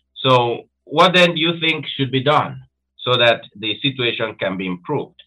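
An unremarkable speaking voice from a man, medium in pitch, moderate in pace, with lively intonation. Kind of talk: interview. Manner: formal.

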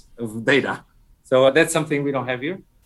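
A man's fairly high-pitched voice with a Portuguese accent. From Portugal. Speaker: tech entrepreneur. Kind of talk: interview. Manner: halting.

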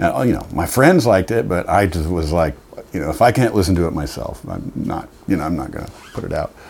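Noticeable background noise sits behind the recording. A man with a very deep, low pitch speaks at a fairly quick pace. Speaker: guitarist and singer. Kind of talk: casual interview chat. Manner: casual, swears often.

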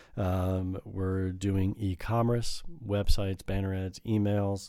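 In an American accent, a man speaks at a fairly slow pace in a fairly low voice with a dark, mellow tone. His intonation is fairly even, and the recording is very clean with a silent background. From Chicago suburbs, US Midwest. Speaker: marketing operations director. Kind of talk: interview. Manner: hesitant, many fillers.

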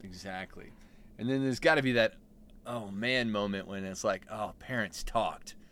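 Moderate pace and ordinary pitch variation from a man, his pitch medium. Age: 40s. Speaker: stepparent co-host. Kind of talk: casual chat.

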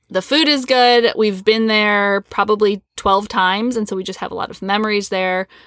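A woman's ordinary speaking voice with an American accent, fairly high in pitch and fairly even in intonation, at a moderate pace with hardly any pauses, in a very clean recording with a silent background. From US Midwest. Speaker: podcast co-host. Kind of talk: casual chat. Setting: home closet.

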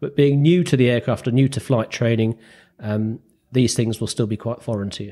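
A man speaks at a fairly quick pace with a northern English accent and ordinary pitch variation. His tone is dark and mellow, and the recording is very clean with a silent background. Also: medium pitch for a man. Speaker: radio telephony examiner and flight instructor. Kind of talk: casual interview chat.

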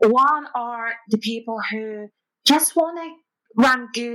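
Using a plain, everyday voice, a woman speaks at a fairly high pitch with ordinary pitch variation. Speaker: fine art photographer. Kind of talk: casual interview chat.

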